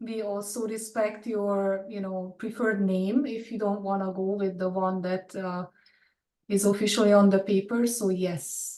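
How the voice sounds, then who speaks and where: With a non-native accent, a woman speaks at a moderate pace and medium pitch, her tone dark and mellow and her intonation monotone and flat. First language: not English. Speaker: animation department chair. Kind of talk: webinar Q&A.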